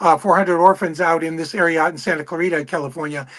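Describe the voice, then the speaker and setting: The man speaks at a very fast pace. His pitch varies in an ordinary way, with noticeable background noise present. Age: 60s. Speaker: psychic medium. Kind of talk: casual chat.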